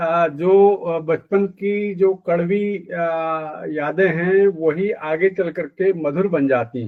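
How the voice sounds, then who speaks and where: The man's voice sits at a high pitch. Its pitch variation is ordinary. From India, Uttarakhand (Pithoragarh). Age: 60s. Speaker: retired journalist and media professor. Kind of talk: interview. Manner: halting, many fillers.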